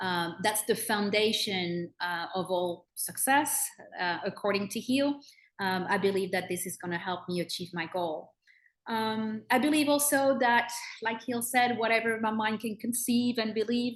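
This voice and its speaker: This woman speaks in a French accent at a fairly slow pace, her pitch fairly high. Her pitch varies an ordinary amount, and the background is quiet. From France (Bordeaux). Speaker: personal growth consultant. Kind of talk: self-introduction in group video call. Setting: video call. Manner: halting, many fillers.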